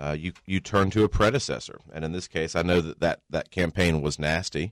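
A man with a Southern US accent speaks at a moderate pace in a very deep, low pitch with ordinary pitch variation. The sound is dry and close with no echo, in a very clean recording with a silent background. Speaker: state politician. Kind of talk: radio interview.

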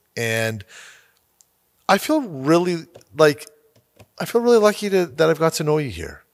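Very wide pitch swings at a moderate pace, with long, frequent pauses. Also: man, fairly high pitch for a man. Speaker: podcast host. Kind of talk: interview. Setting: studio. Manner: animated, laughs often.

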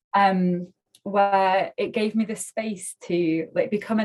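A somewhat breathy voice with a Mancunian accent and fairly even intonation. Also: woman. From northern England, Manchester. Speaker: tech startup founder and CEO. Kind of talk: casual interview.

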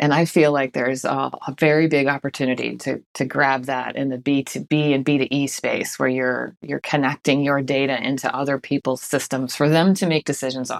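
With an American accent and a very deep, low pitch, a woman talks at a fairly quick pace in a monotone, flat way with hardly any pauses. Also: dry, close sound with no echo. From US, Boston. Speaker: marketing executive. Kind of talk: interview.

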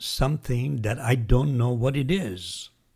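With a non-native accent, a man talks in a medium pitch with a dark, mellow tone, somewhat breathy and with ordinary pitch variation. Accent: foreign-accented English. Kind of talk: reflective conversation. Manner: thoughtful, philosophical.

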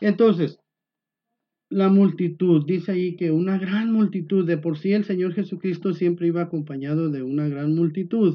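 A man with a high pitch talks at a moderate pace with fairly even intonation. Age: old. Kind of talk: informal devotional talk.

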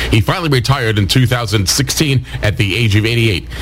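A man with an American accent speaks at a fairly slow pace and a medium pitch. Music plays in the background. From Albany, New York. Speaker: radio co-host and news reader. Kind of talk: casual chat and news reading. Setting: video call.

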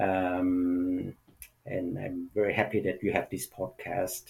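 On a very clean recording with a silent background, a man speaks very slowly in a fairly low, somewhat breathy voice. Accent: Vietnamese. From Vietnam. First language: Vietnamese. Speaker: actor. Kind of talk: interview conversation. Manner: halting, many fillers.

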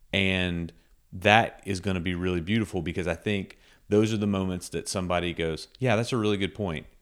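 Fairly quick and fairly even in intonation, a man speaks with a very deep, low pitch. The recording is very clean, the background silent. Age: 40s. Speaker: podcast co-host, marketing professional. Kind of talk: casual chat. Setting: studio.

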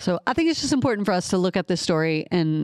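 The voice carries a slight Southern US accent, and the sound is dry and close with no echo. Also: woman. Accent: slight Southern drawl picked up. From Ohio (Columbus). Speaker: podcast co-host. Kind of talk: casual chat about the Bible.

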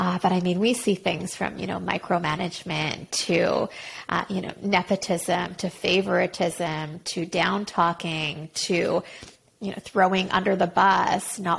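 A woman with a Canadian accent speaks at a fairly slow pace in a medium pitch, somewhat breathy. Her intonation stays monotone and flat. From Quebec, Montreal. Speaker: career coach. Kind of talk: casual interview. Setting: remote call.

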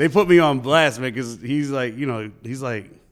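A man in a New York accent, at a moderate pace with ordinary pitch variation. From New York, the Bronx. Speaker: DJ and radio host. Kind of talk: casual interview.

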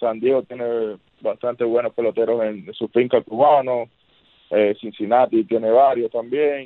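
An ordinary speaking voice from a man, medium in pitch, fairly slow, with fairly even intonation. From Cuba (Havana). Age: 30s. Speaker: professional baseball pitcher. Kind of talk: interview.

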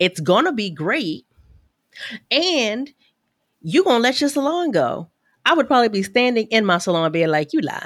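A woman speaks at a moderate pace in a fairly high pitch, her pitch swinging very widely. Long, frequent pauses break her speech on a very clean recording with a silent background. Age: 40s. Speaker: business coach and podcast guest. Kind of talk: casual conversation.

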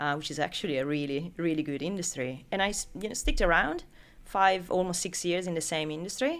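On a very clean recording with a silent background, a woman with an Italian accent speaks fairly quickly in a very deep, low voice. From Italy. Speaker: recruitment business founder. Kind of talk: interview.

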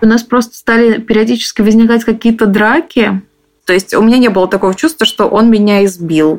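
A woman speaks in a plain, everyday voice at a fairly quick pace, with a fairly high pitch and very even loudness. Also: ordinary pitch variation. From Moscow. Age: 20s. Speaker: interviewee, abuse survivor. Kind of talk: personal testimony.

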